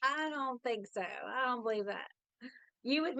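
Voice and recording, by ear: A woman with a Southern US accent speaks at a moderate pace, her high pitch and bright, sharp tone showing ordinary pitch variation.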